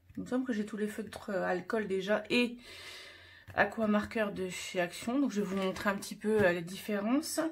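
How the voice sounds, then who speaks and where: Somewhat breathy and at medium pitch, a woman speaks at a fairly slow pace with ordinary pitch variation. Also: very clean recording, silent background. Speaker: craft YouTuber. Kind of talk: casual tutorial vlog. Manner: halting, many fillers.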